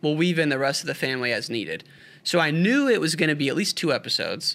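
Bright and sharp in tone, a man with a fairly high pitch speaks at a very fast pace with lively intonation in a very clean recording with a silent background. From western Illinois, Quad Cities. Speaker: podcaster, former wrestler. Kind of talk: casual interview.

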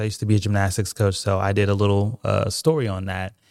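An ordinary speaking voice from a man, fairly low and fairly quick, with fairly even intonation, on a very clean recording with a silent background. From Oklahoma, moved around the US from age six. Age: 30s. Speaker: newspaper founder and CEO. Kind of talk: casual interview.

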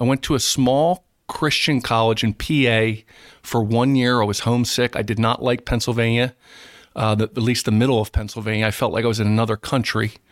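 A man's normal speaking voice at a medium pitch, fairly quick, with very even loudness and fairly even intonation, on a very clean recording with a silent background. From South Jersey, US. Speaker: school superintendent. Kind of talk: interview conversation.

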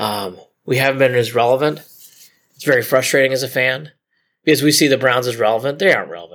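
A man with a Midwestern American accent talks very fast at a medium pitch, with ordinary pitch variation. He leaves long, frequent pauses, and the recording is very clean with a silent background. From Ohio, Cleveland area. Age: 40s. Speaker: sports documentary producer. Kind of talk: interview.

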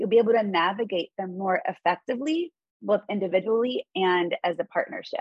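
In a normal speaking voice, a woman talks at a fairly quick pace. Her pitch is medium and her intonation lively. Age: 40s. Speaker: mindfulness and meditation teacher. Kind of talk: interview.

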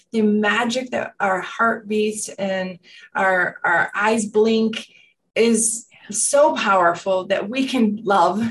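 A woman speaks at a very slow pace in a fairly high, somewhat breathy voice. Her intonation stays fairly even. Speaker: wellness center manager and former business owner. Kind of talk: casual interview chat.

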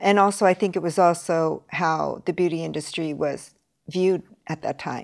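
A woman with a Californian accent, at a fairly low pitch and a moderate pace, with fairly even intonation. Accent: Californian American English. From US, Los Angeles. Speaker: beauty school principal. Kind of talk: interview. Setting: remote call.

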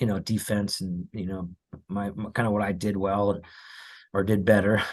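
A man with an American accent speaks at a moderate pace in a fairly low, monotone, flat voice. The background is quiet. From Los Angeles area, California. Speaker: college baseball coach. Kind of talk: casual interview.

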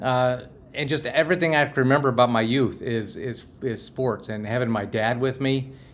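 A man with an American accent at a moderate pace, with ordinary pitch variation. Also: medium pitch for a man. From US, Pittsburgh. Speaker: professional speaker, sports ministry enthusiast. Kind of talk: casual interview.

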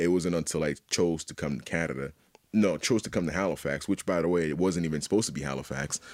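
In a very clean recording with a silent background, a man with a very deep, low voice and vocal fry talks very fast with ordinary pitch variation. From Haiti. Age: 30s. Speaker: visual artist. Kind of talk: casual chat.

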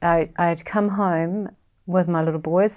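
Speaking with a New Zealand accent, a woman has a dark, mellow tone and a fairly low pitch. The recording is very clean, with a silent background. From New Zealand, West Auckland. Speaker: bereaved sister, writer. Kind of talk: personal testimony.

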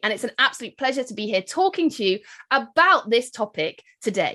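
A woman with a British accent speaks at a fairly quick pace in a fairly high voice with a bright, sharp tone. Her pitch swings very widely, and the background is quiet. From UK. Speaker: wedding business marketing expert and speaker. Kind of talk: keynote presentation and podcast intro.

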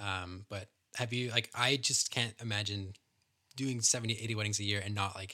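In a Canadian accent, the bright, sharp voice moves at a fairly quick pace with fairly even intonation, on a very clean recording with a silent background. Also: man. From Canada. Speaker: podcast host. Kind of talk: casual interview chat.

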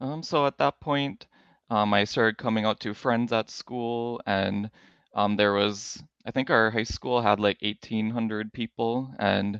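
A man with an American accent speaks in a plain, everyday voice at a fairly slow pace, his fairly low pitch held in fairly even intonation, with a dry, close sound, no echo and a quiet background. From US Midwest, Minnesota. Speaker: podcast guest sharing conversion story. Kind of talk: testimony.

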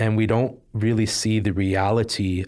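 Over a silent background on a very clean recording, a man speaks at fairly low pitch with fairly even intonation. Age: 20s. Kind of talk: interview, personal testimony.

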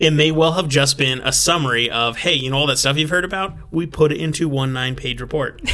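With noticeable background noise behind him, a man talks at a fairly quick pace with hardly any pauses, using a fairly high pitch and fairly even intonation. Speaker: podcast host. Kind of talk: casual chat.

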